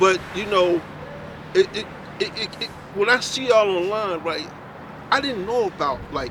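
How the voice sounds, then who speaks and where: The speaker's lively intonation is broken by long, frequent pauses, with noticeable background noise behind. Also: man, high pitch for a man, moderate pace. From North Philadelphia. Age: 60s. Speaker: passerby. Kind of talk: casual chat.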